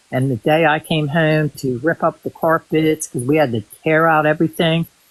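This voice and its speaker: This man has a normal speaking voice, fairly high in pitch. He talks at a moderate pace with ordinary pitch variation. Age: 60s. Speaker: guest on livestream. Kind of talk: casual chat. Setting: livestream.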